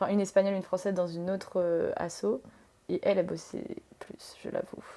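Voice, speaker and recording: At medium pitch, a woman speaks at a fairly quick pace. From France. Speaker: tattoo artist. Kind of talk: casual chat. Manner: hesitant, many fillers.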